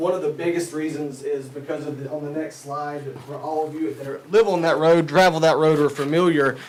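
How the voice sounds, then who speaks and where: With noticeable background noise behind him, a man speaks fairly quickly at a fairly high pitch in a monotone, flat intonation. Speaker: commercial real estate developer. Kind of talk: public presentation at a county board meeting. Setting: county commissioners' meeting room. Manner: loud.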